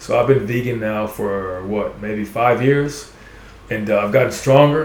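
Noticeable background noise and audible room echo surround this voice. A man with an American accent speaks fairly slowly with ordinary pitch variation. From Texas, Houston. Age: 40s. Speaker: guest. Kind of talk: casual chat. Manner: animated.

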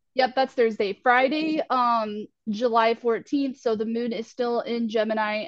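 Fairly slow and fairly high-pitched, a woman speaks in a plain, everyday voice. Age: 30s. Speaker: astrologer and spiritual life coach. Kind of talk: casual astrology forecast chat.

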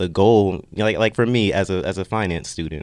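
Against a quiet background, a man talks. His pace is moderate. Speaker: college student podcast host. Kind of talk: casual chat.

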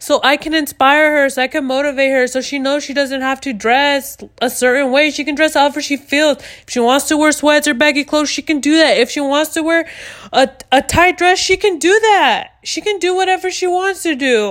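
Loud and animated, a woman talks at a fairly quick pace in a high voice with ordinary pitch variation. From US, Mexican-American family. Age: 20s. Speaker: podcast host. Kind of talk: casual solo chat, rant. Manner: loud, talkative, animated.

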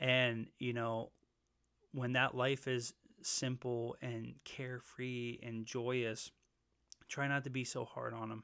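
A man with an American accent talks at a medium pitch in a bright, sharp tone. His intonation is flat and monotone, his pace very slow, with long, frequent pauses. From Pennsylvania, northeastern/central. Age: 30s. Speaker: podcast host. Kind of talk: casual monologue. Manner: casual, filler-heavy.

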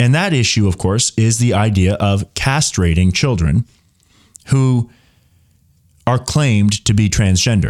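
In a very clean recording with a silent background and a dry, close sound with no echo, a man speaks in an animated tone at a fairly low pitch and a fairly slow pace, with long, frequent pauses and very even loudness. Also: ordinary pitch variation. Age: 20s. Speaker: political podcast host. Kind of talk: solo news commentary. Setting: live stream studio.

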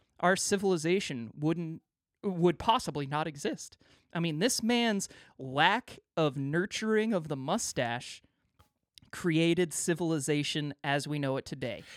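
A playful man's voice, fairly high in pitch, with lively intonation at a fairly slow pace. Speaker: podcast host. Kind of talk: casual banter. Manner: joking, playful.

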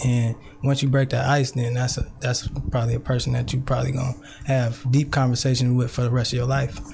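Against noticeable background noise, a man with an American accent talks at a very fast pace. His medium-pitched voice is monotone and flat, with very even loudness. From Richmond, California (Bay Area). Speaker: poet and youth worker. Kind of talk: casual interview.

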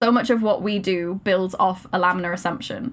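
A woman with a Welsh accent talks at a fairly quick pace, her medium pitch showing ordinary variation. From Wales. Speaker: maths PhD student and science communicator. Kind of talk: casual chat.

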